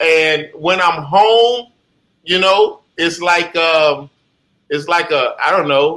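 With an American accent, a man speaks at a very slow pace with a high pitch, ordinary pitch variation and a bright, sharp tone. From Jacksonville, Florida. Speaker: comedian. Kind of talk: casual chat.

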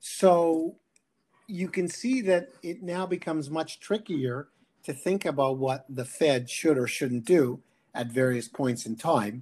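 Using a plain, everyday voice, a man talks slowly at a fairly high pitch with lively intonation. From Canada. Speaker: economics professor. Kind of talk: interview.

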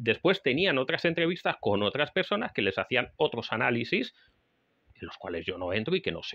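Speaking at a moderate pace, a man's bright, sharp voice carries vocal fry. His pitch swings very widely and his loudness varies a lot. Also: dry, close sound with no echo. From Spain. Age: 40s. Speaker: podcast host and survival instructor. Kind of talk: solo podcast monologue. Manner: halting, with frequent fillers.

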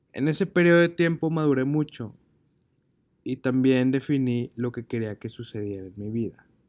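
It's an unremarkable speaking voice from a man at medium pitch, with ordinary pitch variation and a moderate pace. The sound is dry and close, with no echo. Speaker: podcast host and marketing teacher. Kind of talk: personal monologue.

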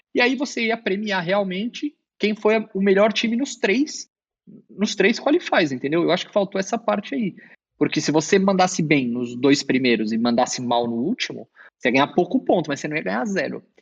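Speaking at a moderate pace, a man with a high pitch lets his voice make very wide pitch swings. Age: 30s. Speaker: esports coach. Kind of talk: interview.

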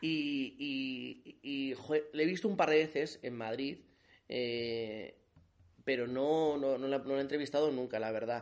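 This man has an ordinary speaking voice with a fairly high pitch. He talks at a fairly slow pace with ordinary pitch variation. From Navarre, Spain (Alsasua). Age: 30s. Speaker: journalist and community manager. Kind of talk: casual chat. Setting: reading room of a palace, late night.

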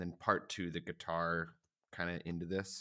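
A man with an American accent speaks at a fairly slow pace in a bright, sharp tone. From US South. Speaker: rock musician. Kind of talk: casual interview.

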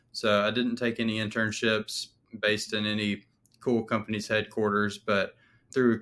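A man with a fairly low pitch speaks at a moderate pace in a flat monotone. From Alabama. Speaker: data scientist. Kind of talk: interview.

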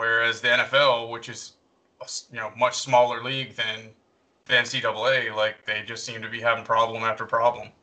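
Monotone, flat delivery in an American accent at a moderate pace, with big swings in loudness. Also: man, medium pitch for a man. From North Carolina. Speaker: podcast co-host. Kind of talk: casual chat.

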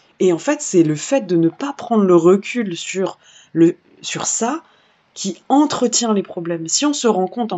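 The voice is an unremarkable speaking voice. It rises and falls in a lively way. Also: woman. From Paris suburbs, France. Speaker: singer and activist. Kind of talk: interview conversation.

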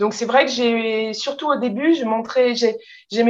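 A woman with fairly high pitch uses an ordinary speaking voice. Her pace is moderate and her pitch variation is ordinary. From France. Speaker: translator and publisher. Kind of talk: interview.

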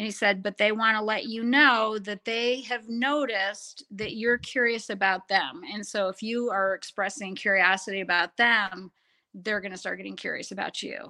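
A woman with an American accent speaks at a moderate pace in a fairly high pitch, her tone bright and sharp against a quiet background. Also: ordinary pitch variation, hardly any pauses. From rural Western New York. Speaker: paranormal investigator. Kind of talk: interview.

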